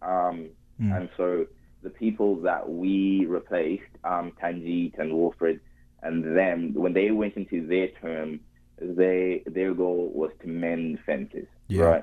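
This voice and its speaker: At a fairly slow pace, a man speaks in a very deep, low voice with monotone, flat intonation. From Zimbabwe. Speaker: former student union officer. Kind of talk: casual interview. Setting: phone call.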